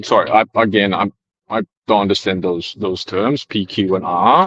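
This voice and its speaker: A man with a non-native accent and a fairly low pitch speaks at a moderate pace, the sound dry and close with no echo. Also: ordinary pitch variation. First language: not English. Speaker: debate panelist. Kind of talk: casual debate. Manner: halting.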